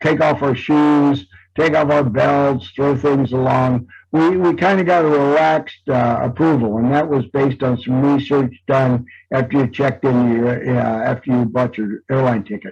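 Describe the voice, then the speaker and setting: Music plays in the background as a man speaks at a moderate pace. He has an American accent. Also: medium pitch for a man, ordinary pitch variation. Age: 70s. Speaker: travel agency owner and host. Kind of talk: monthly update for customers. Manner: casual, hesitant with many fillers.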